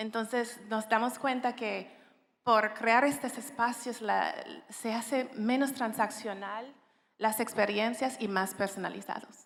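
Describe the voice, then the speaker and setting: A woman's fairly high voice moves very slowly, her intonation fairly even. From Jamaica. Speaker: HR executive, panelist. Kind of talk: panel discussion. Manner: halting, reading from notes.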